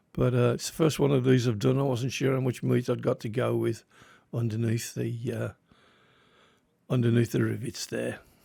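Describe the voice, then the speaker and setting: With a strong English Midlands accent, a man speaks at a moderate pace. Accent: Midland English, strong. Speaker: die-cast model restorer, YouTuber. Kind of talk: hobby tutorial narration. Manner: casual, slightly halting.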